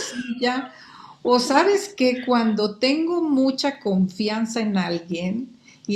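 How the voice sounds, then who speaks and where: This is a woman speaking at a fairly high pitch. She talks with a Mexican accent. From Guatemala, Quetzaltenango. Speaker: market research expert. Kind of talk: interview conversation.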